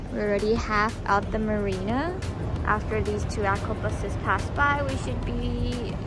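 Loud background noise sits behind a woman talking at a fairly slow pace. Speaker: boat owner vlogger. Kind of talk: casual vlog narration. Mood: cheerful, excited. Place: boat. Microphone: phone near.

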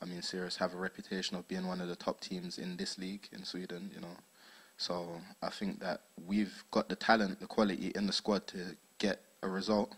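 Speaking at a fairly quick pace in a South London accent, the voice stays monotone with flat intonation. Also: man, very deep, low pitch for a man. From South London, England. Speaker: footballer. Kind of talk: post-match interview. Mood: calm, confident. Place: hall. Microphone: handheld.

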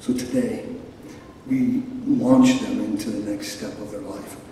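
A man talks at a fairly slow pace. Strong room echo and light background noise surround his voice. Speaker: ceremony speaker giving benediction. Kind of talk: closing prayer at graduation ceremony. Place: stage.

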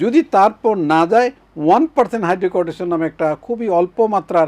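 The sound is dry and close, with no echo. A man speaks at a high pitch with ordinary pitch variation. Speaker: dermatologist, professor. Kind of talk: TV health advice interview.

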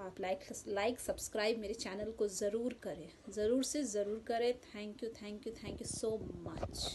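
Light background noise sits behind a woman who speaks at a fairly slow pace with fairly even intonation. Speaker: home vlogger. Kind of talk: casual vlog chat. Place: home room. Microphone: phone near.

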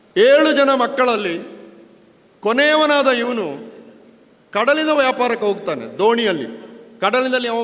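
A man's extremely high-pitched voice, with ordinary pitch variation, is heard through noticeable background noise. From coastal Karnataka, Panja near Puttur. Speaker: public speaker, scholar. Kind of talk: public speech.

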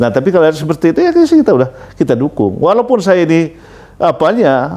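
High-pitched man with very wide pitch swings. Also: fairly quick pace, very even loudness. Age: 60s. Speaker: former regional legislature chairman, politician; former local politician. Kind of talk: interview. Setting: at his home. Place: home room.

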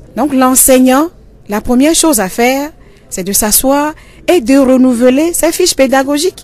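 At a moderate pace, a woman talks in a high pitch. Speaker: school inspector. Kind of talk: interview.

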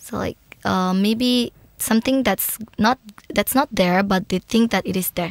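An unremarkable speaking voice from a woman at medium pitch, with ordinary pitch variation and a fairly slow pace, on a very clean recording with a silent background and a dry, close sound with no echo. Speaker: podcast host. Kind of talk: interview. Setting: in-person studio interview. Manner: warm and effusive.

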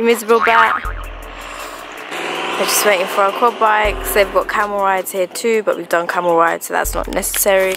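Over music in the background, the speech moves at a fairly quick pace with a dry sound and no echo. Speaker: travel vlogger. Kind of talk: casual vlog chat. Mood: playful, teasing. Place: open country. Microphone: phone near.

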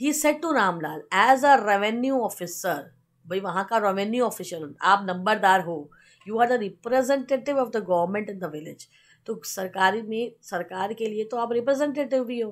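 A woman speaks at a fairly high pitch with lively intonation. Her pace is fairly slow. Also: quiet background. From India. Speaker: teacher. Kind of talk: lecture. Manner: code-switching Hindi and English.

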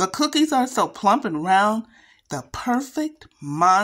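An unforced reading voice carries the clip.

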